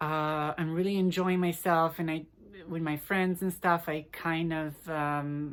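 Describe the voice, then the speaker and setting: A woman speaks in an Italian accent at a fairly low pitch, monotone and flat in intonation. Her pace is fairly slow and the recording very clean, with a silent background. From Italy. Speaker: vlogger. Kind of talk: casual vlog talk. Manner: halting, many fillers.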